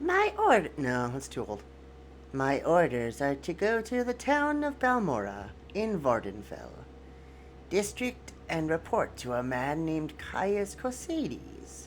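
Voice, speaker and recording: A man uses a put-on character voice at a fairly slow pace. Clear background noise can be heard. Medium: solo performance.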